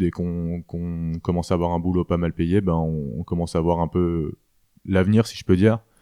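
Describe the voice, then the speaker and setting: A man's very deep, low voice at a moderate pace, dry and close with no echo, against a quiet background. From France, Alsace. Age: 20s. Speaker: apprentice butcher, former finance worker. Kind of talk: interview testimony.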